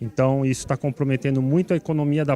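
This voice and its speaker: This man has a normal speaking voice with a fairly high pitch and a fairly quick pace. The sound is dry and close, with no echo. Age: 60s. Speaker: city councillor. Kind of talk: TV interview; committee meeting closing remarks.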